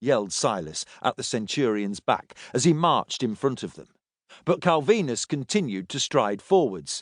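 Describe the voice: With a quiet background, the text is read aloud plainly.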